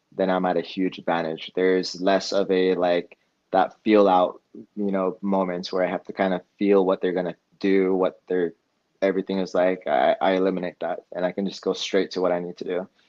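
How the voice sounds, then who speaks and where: With a very deep, low voice, a man delivers his words in a monotone, flat manner. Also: fairly quick pace. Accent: West Coast. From Eugene, Oregon, US Pacific Northwest. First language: Spanish. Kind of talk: podcast interview. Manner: casual, with many fillers.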